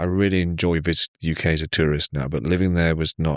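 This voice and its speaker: With very deep, low pitch and a very fast pace, a man speaks in a dry, close sound with no echo on a very clean recording with a silent background. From Kenya, Nairobi. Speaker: tech company CEO. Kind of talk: casual podcast interview.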